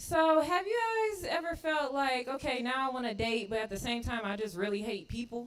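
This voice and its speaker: Speaking at a moderate pace, a woman uses lively intonation, with audible room echo around her voice. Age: 30s. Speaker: stand-up comedian. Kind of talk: stand-up. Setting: stage with audience.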